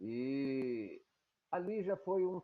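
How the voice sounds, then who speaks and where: Lively intonation from a man at a medium pitch. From Brazil, Baixada Fluminense (Rio de Janeiro state). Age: 70s. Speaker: interviewee recounting life story. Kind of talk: oral history testimony.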